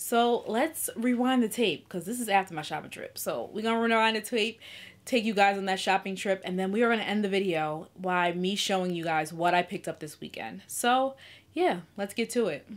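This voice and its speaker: Her pitch moves in an ordinary way. The woman talks at a fairly quick pace. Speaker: lifestyle vlogger. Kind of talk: casual vlog chat. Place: home room.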